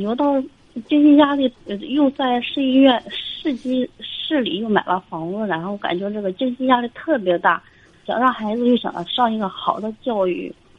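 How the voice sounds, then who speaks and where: Here a woman talks with a high pitch and ordinary pitch variation. She keeps a fairly slow pace. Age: 30s. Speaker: caller, neurologist. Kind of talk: call-in advice. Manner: halting. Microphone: too quiet.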